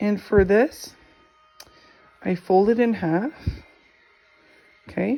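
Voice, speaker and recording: Music plays in the background as the speaker talks at a very slow pace with long, frequent pauses. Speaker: crafting tutorial creator. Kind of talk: tutorial. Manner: casual, repeats okay often.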